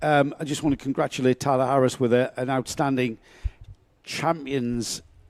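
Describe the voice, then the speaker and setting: A medium-pitched man at a moderate pace. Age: 60s. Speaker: motorsport commentator. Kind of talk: live commentary.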